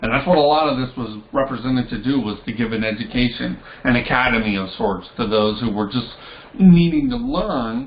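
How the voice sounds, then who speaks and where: Medium-pitched male speech, ordinary in its pitch variation, with noticeable background noise and audible echo from the room. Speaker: tarot and esoteric teacher. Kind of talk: lecture.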